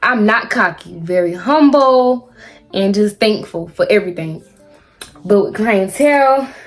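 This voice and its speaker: Over music in the background, a woman speaks fairly slowly at a fairly high pitch with lively intonation. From South Carolina. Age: 20s. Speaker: hairstylist. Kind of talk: casual talk to camera.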